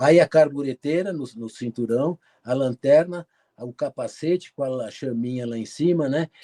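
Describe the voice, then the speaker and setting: Dry and close with no echo, a man's fairly high voice has a dark, mellow tone, ordinary pitch variation and a fairly slow pace. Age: 70s. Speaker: cave explorer and photographer. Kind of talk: interview talk with slide presentation.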